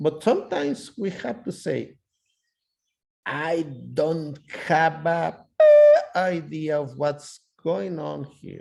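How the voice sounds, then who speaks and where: This man speaks at a very slow pace with a non-native accent, leaving long, frequent pauses. His pitch is fairly high, with ordinary variation. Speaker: ultrasound lecturer. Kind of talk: lecture.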